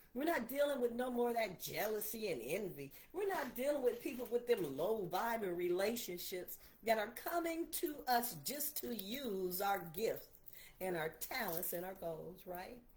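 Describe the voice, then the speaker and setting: Somewhat breathy and animated, a woman with a fairly high pitch talks at a moderate pace with very wide pitch swings, and there is audible room echo. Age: 60s. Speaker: preacher. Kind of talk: livestream sermon. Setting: livestream on laptop.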